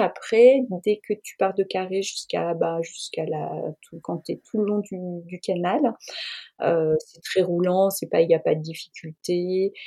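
In a dry, close sound with no echo, a woman speaks very slowly at a medium pitch, with ordinary pitch variation and big swings in loudness. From France, Burgundy (Auxerre area). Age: 50s. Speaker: cycle traveller. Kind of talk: interview testimony.

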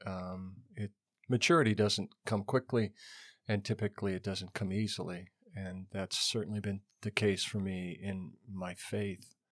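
A man with a normal speaking voice and an American accent, fairly low in pitch, fairly slow, with fairly even intonation, in a dry, close recording with no echo and a very clean, silent background. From western Montana, US. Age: 60s. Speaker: pastor. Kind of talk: casual interview. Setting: studio.

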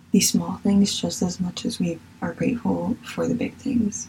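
A woman at a fairly slow pace with an American accent, over noticeable background noise. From Virginia, US. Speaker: podcast host. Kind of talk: solo monologue podcast, casual. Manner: passionate, gets carried away on topics.

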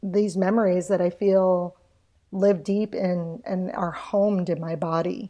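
The woman's voice has a dark, mellow tone. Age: 50s. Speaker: memoirist and yoga teacher. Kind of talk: casual interview.

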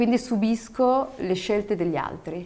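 A woman speaking at a moderate pace and medium pitch with lively intonation, over noticeable background noise. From Morocco, Berber family, raised in Italy from about age 9. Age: 30s. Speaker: TV presenter and actress. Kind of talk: interview. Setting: studio.

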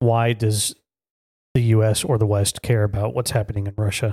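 A man speaks at a moderate pace and medium pitch, his tone dark and mellow, his delivery somewhat breathy with fairly even intonation, in a dry, close sound with no echo. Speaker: podcast co-host. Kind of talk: casual discussion.

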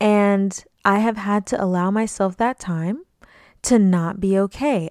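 Dry and close with no echo, a woman's ordinary speaking voice comes through at a medium pitch and a fairly slow pace. The recording is very clean, with a silent background. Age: 20s. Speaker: podcast host. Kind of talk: solo motivational talk.

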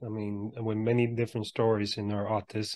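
A man's fairly low voice, monotone and flat, at a fairly quick pace over a quiet background. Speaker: podcast host and motivational speaker. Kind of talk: interview.

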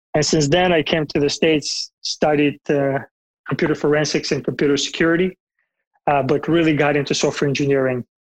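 A man with a Bulgarian accent speaks fairly quickly at a fairly high pitch, in a monotone, flat intonation with very even loudness. The sound is dry and close with no echo, over a quiet background. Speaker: software engineering manager. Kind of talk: interview.

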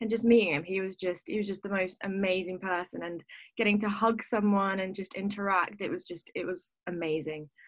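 Using a normal speaking voice, a woman talks at a fairly quick pace with a medium pitch and fairly even intonation. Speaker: reality show winner. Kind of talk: casual interview.

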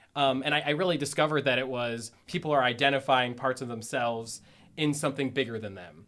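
With a Midwestern American accent and a bright, sharp tone, a man talks at a very fast pace and medium pitch, with ordinary pitch variation and big swings in loudness. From Northeast Ohio. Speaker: life coach and tarot reader. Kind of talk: casual interview.

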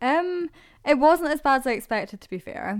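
A woman with a Scottish accent talks at a moderate pace, her pitch swinging very widely. The recording is very clean, with a silent background. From Scotland. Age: 20s. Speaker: podcast co-host. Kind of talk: casual chat.

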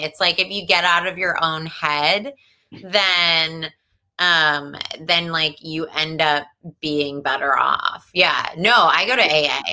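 A woman with a New Jersey accent speaks fairly slowly at a fairly low pitch, her tone bright and sharp. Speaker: comedian. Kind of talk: casual chat. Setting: video call.

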